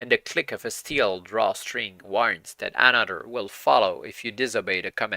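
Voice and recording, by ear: Someone is reading aloud. They do it in a natural voice.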